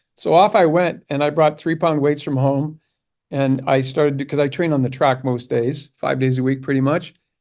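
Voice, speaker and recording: A man speaks at a moderate pace with a fairly high pitch and a normal speaking voice. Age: 60s. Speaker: interview show host. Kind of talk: interview. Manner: casual, conversational.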